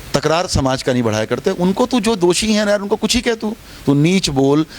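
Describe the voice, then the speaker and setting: A man's voice with very wide pitch swings, against noticeable background noise. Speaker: politician. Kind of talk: interview statement. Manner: loud.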